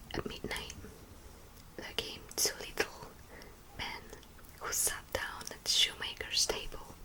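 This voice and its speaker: Someone is whispering at a fairly slow pace, with long, frequent pauses. Noticeable background noise runs underneath. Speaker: ASMR creator. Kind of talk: bedtime story reading. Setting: home studio. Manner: whispered.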